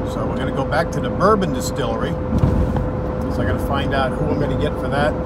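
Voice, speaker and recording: Against loud background noise in a dry recording with no echo, a man speaks at a fairly quick pace. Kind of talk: casual vlog chat. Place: car. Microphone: phone near.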